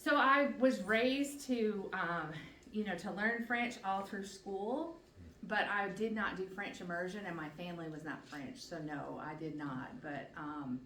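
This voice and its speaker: A woman at medium pitch speaks fairly slowly with very wide pitch swings and big shifts in loudness, with audible room echo and noticeable background noise. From Newfoundland, Canada. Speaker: patient advocate and nurse. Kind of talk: presentation to community group. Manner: chatty, with frequent fillers.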